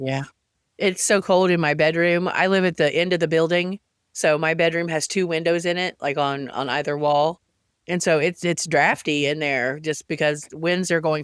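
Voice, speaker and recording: Fairly even intonation and a moderate pace mark this speaker with a Southern Appalachian accent. The recording is very clean, with a silent background. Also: man. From Central Appalachia. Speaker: podcast host. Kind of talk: casual podcast conversation.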